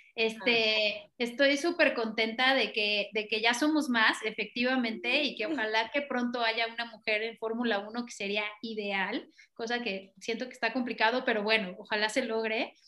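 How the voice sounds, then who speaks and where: Bright and sharp in tone, this woman's voice sits at a fairly high pitch. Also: fairly even intonation, moderate pace. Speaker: racing driver and team manager. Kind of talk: casual interview chat.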